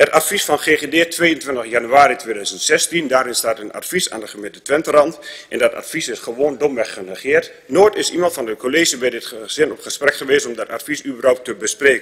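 Moderate pace with hardly any pauses, ordinary pitch variation and big swings in loudness. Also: man. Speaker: council speaker. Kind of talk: council debate speech. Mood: critical, indignant. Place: meeting room.

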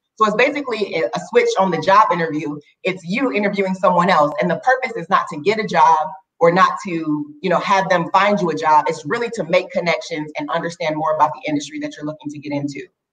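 A woman with an American accent talks at a very fast pace in a fairly low pitch. Her intonation is lively, and her loudness swings widely. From Minnesota. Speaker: career coach. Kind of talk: interview. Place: home room. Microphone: video call.

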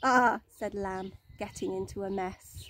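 A woman has an ordinary speaking voice. Her intonation is fairly even. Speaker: primary school teacher. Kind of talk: bedtime story, read aloud to young children. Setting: outdoors. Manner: gentle, slow and soothing, with warm storyteller expression.

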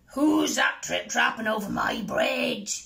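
Someone speaks in a put-on character voice at a fairly slow pace. The pitch is high and the sound is raspy. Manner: bellowing, gruff.

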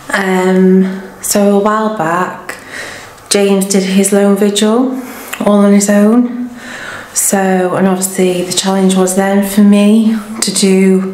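A woman's very slow, monotone, flat delivery with audible room echo. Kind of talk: casual vlog chat. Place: empty room. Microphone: phone near.

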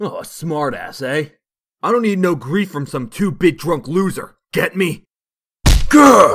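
Putting on a growling character voice, a man speaks fairly slowly at a high pitch with very wide pitch swings. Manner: aggressive, bullying, tough-guy slang.

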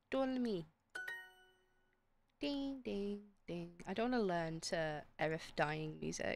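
Music plays behind a woman with a British accent and a fairly low pitch, speaking at a very slow pace. Her pitch swings very widely, and she takes long, frequent pauses. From Britain. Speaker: streamer. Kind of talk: live game stream chat. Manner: animated.

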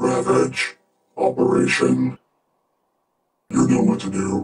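A man's raspy put-on character voice, fairly low in pitch, at a fairly slow pace. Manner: deadpan.

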